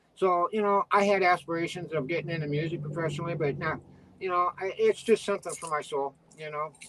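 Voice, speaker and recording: Over noticeable background noise, a man with a high pitch speaks at a very fast pace with fairly even intonation. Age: 60s. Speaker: retired veterinarian and writer. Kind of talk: interview.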